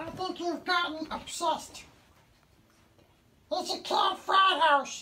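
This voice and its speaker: In a cartoonish character voice, a woman speaks at an extremely high pitch and a fairly slow pace, with long, frequent pauses. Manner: conspiratorial, indignant.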